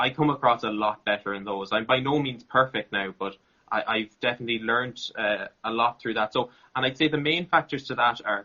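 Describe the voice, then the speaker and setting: With an Irish accent, a man speaks at a fairly quick pace, his medium pitch showing ordinary variation. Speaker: content creator and interviewer. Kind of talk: interview. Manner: relaxed.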